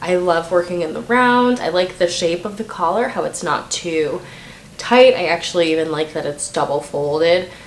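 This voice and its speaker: A woman's voice over noticeable background noise. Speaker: knitting podcast host. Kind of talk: casual video podcast talk. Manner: hesitant with many fillers.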